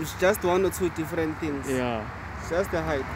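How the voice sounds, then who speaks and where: Recorded dry with no echo, a man speaks over noticeable background noise. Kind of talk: casual explanation to visitor. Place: open country. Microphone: phone near.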